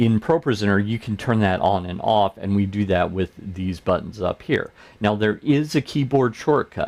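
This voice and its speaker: This is a plain, everyday voice with an American accent, ordinary pitch variation and a moderate pace. The background is quiet. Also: man, fairly low pitch for a man. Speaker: church tech trainer, show host. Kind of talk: tutorial. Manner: casual, conversational.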